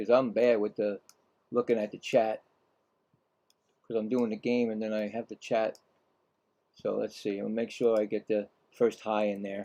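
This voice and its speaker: A man with a Brooklyn accent speaks in a dark, mellow tone at a moderate pace. His intonation is monotone and flat, broken by long, frequent pauses. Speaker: live game play-by-play streamer. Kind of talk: live play-by-play commentary. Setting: live stream. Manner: casual, halting with fillers.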